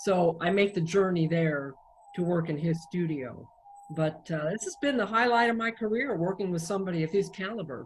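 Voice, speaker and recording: Through noticeable background noise, a woman with a fairly low pitch talks fairly quickly with lively intonation. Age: 60s. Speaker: singer-songwriter. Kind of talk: interview.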